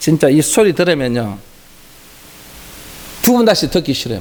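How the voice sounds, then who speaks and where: With a Gyeongsang accent, a man speaks with lively intonation. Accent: Gyeongsang regional dialect. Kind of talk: sermon, preaching.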